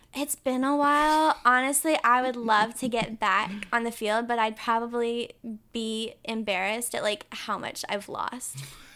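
In an American accent, a woman speaks at a fairly slow pace with a fairly high pitch and a bright, sharp tone, on a very clean recording with a silent background. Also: ordinary pitch variation. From North Carolina, Winston-Salem. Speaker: actress. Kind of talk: casual chat. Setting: sunroom at her home.

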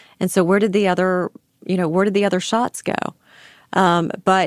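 A woman speaks at a medium pitch in dry, close sound with no echo, on a very clean recording with a silent background. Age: 50s. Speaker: attorney heading a conviction review unit. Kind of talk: interview.

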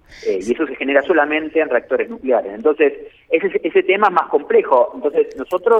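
A fairly quick delivery, with noticeable noise in the background. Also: man. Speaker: nuclear energy expert. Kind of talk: phone interview. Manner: halting, many fillers.

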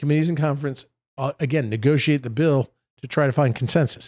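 An ordinary speaking voice from a man with an American accent and a fairly high pitch, at a fairly quick pace, on a very clean, dry, close recording with no echo and a silent background. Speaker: state senator and podcast co-host. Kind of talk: casual political chat.

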